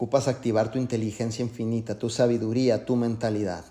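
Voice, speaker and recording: A man speaks at a fairly quick pace in a medium pitch. His tone is dark and mellow. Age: 40s. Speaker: network marketing leader. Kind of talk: motivational talk. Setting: video call. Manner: animated.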